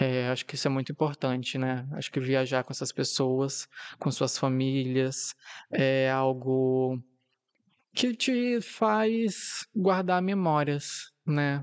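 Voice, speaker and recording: Against a quiet background, a man with a medium-pitched voice talks at a very slow pace with ordinary pitch variation. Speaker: podcast host. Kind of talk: casual solo monologue.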